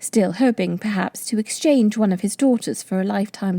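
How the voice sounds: Someone reads in a natural reading voice, with ordinary pitch variation throughout.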